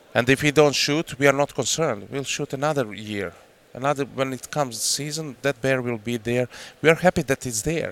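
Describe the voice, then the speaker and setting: With a Croatian accent, a man speaks at a medium pitch and a fairly quick pace, with ordinary pitch variation on a very clean recording with a silent background. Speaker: hunter. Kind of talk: casual chat.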